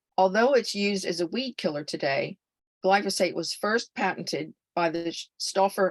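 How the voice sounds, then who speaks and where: Against a quiet background, a woman speaks at a medium pitch with ordinary pitch variation. The sound is dry and close with no echo, and her pace is moderate. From California. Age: 70s. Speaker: health speaker. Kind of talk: webinar presentation. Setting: online webinar.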